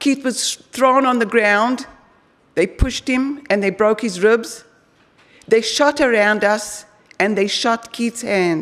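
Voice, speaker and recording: Her voice fairly high, a woman speaks at a very slow pace. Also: ordinary pitch variation. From Israel, born in South Africa. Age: 60s. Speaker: former hostage. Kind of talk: testimony.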